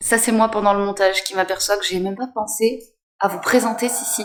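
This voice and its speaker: Fairly even intonation from a woman, medium in pitch and moderate in pace. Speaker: lifestyle vlogger. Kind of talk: casual vlog narration. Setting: home garage gym.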